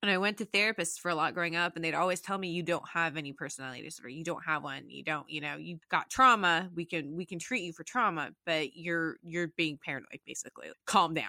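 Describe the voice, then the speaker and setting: A woman's bright, sharp voice with a western US accent, fairly low in pitch, at a very fast pace, with big swings in loudness and ordinary pitch variation, dry and close with no echo, on a very clean recording with a silent background. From Utah, Salt Lake City. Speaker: software engineer. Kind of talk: interview.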